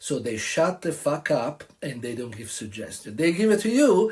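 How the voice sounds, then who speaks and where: With an Italian accent, a man speaks at a moderate pace in a somewhat breathy, animated tone with very wide pitch swings. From Italy (Tuscany). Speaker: restaurant owner. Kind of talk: opinion monologue.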